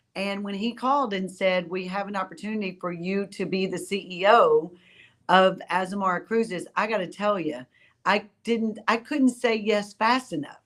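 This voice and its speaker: Recorded very cleanly against a silent background, a woman speaks at a moderate pace with a medium pitch. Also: ordinary pitch variation. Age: 60s. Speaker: cruise line executive. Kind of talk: interview. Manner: animated.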